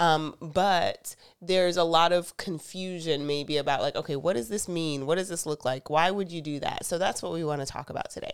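A woman with an ordinary speaking voice and an American accent talks at a fairly quick pace with hardly any pauses, fairly even intonation and a fairly low pitch. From US South. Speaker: podcast co-host. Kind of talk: casual chat.

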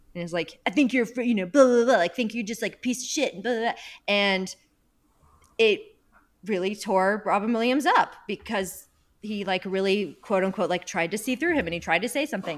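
A plain, everyday voice moves at a fairly quick pace with lively intonation, in a very clean recording with a silent background. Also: woman, fairly high pitch for a woman. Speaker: podcast host. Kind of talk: casual chat.

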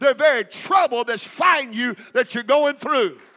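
Raised and projected, a man's voice sits at an extremely high pitch with ordinary pitch variation. The tone is animated, and the sound is dry and close with no echo. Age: 60s. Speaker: pastor. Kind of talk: sermon.

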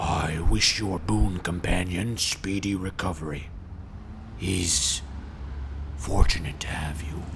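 A man uses a put-on character voice with a very deep, low pitch at a fairly slow pace. Long, frequent pauses break it up amid loud background noise. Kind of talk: archaic, formal, knightly speech. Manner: solemn, earnest, self-important.

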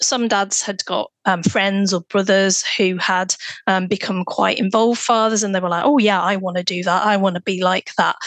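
A woman with a British accent talks at a moderate pace with fairly even intonation. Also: medium pitch for a woman. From UK. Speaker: fatherhood researcher and nurse. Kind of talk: interview conversation.

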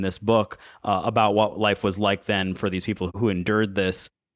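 A plain, everyday voice at a fairly quick pace, very clean recording with a silent background. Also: man, dry, close sound with no echo. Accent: American. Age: 30s. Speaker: podcast host. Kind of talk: interview.

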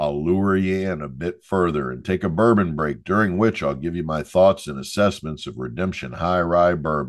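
A man speaks with a very deep, low pitch and ordinary pitch variation. The background is quiet. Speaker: podcast host and professor. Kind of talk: carnival barker spiel intro, then interview host. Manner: showman, rhyming pitch, animated; self-deprecating, jokey.

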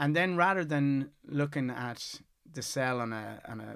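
On a very clean recording with a silent background, a man with a west of Ireland accent speaks at a medium pitch. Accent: west of Ireland Irish. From Ireland, Galway. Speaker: scientist, core facility manager. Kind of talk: casual interview. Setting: studio, in person.

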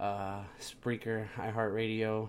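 A man's fairly low voice with a slightly mellow tone

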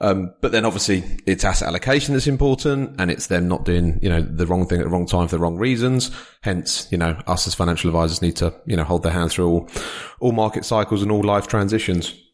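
With a British accent, a man talks at a very fast pace in a very deep, low voice, with very even loudness and ordinary pitch variation. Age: 40s. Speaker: financial adviser and podcast host. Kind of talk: interview conversation. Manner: halting, many fillers.

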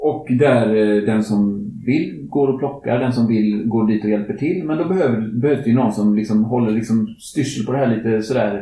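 A somewhat breathy man at medium pitch, dark and mellow in tone, with very even loudness and audible room echo. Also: ordinary pitch variation, moderate pace. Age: 50s. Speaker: climate activist podcast host. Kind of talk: casual chat.

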